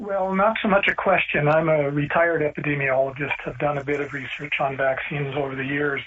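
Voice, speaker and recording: A man's fairly high voice at a fairly quick pace, with hardly any pauses, ordinary pitch variation, and noticeable background noise. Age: 70s. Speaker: retired epidemiologist. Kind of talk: radio call-in.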